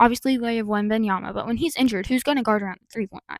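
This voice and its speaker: A woman's fairly high voice, with ordinary pitch variation, comes through dry and close with no echo in a very clean recording against a silent background. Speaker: sports youtuber. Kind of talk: casual vlog commentary. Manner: fast.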